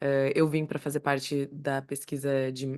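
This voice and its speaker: The intonation stays monotone and flat against a quiet background. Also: woman. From Brazil, Rio Grande do Sul (Passo Fundo). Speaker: speech therapist and podcast co-host. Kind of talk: casual chat.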